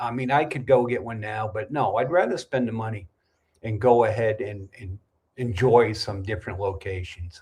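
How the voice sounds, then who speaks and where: A somewhat breathy man's voice with an American accent, a moderate pace, ordinary pitch variation and big swings in loudness. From New England, US (New Hampshire). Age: 60s. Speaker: YouTube livestream host, expat vlogger. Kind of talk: casual livestream chat reading comments. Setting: livestream. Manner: conversational, with frequent fillers.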